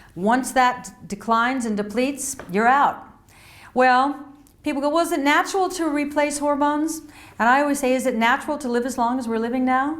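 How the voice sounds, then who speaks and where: The woman speaks at a high pitch and moderate pace with ordinary pitch variation. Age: 60s. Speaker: health and wellness author. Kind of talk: casual talk to camera.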